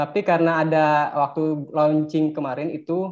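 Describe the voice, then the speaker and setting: A man's fairly high-pitched voice moves at a moderate pace. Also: quiet background. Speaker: teacher. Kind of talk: online webinar presentation. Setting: video call. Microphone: video call.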